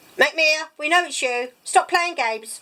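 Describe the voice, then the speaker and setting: A woman speaks in a put-on character voice pitched extremely high. Her pace is moderate. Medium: read story.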